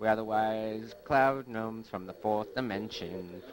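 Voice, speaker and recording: A man puts on a character voice at a medium pitch for a man, talking at a moderate pace. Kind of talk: solemn pronouncement.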